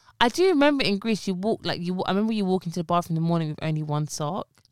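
A woman's fairly low voice with a London accent at a very fast pace, on a very clean recording with a silent background. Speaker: podcast co-host and pharmacist. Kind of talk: casual chat.

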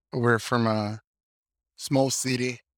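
The man's speech is fairly slow, monotone and flat. His medium-pitched voice sounds dry and close, with no echo. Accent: Spanish. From Mexico, Sinaloa. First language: Spanish. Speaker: journalist and translator. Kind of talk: interview. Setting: video call.

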